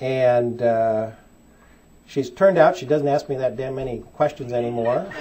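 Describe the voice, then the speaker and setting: In a Midwestern accent, the speaker moves at a fairly slow pace with lively intonation. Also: man. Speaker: back pain doctor. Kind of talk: seminar talk to audience.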